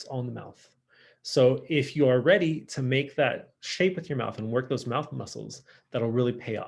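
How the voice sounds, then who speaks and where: On a very clean recording with a silent background, a man speaks with a Californian accent. His medium-pitched voice carries vocal fry. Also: ordinary pitch variation, moderate pace, big swings in loudness. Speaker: high school French teacher. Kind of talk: lecture. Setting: recorded virtual lesson. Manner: casual, filler-heavy.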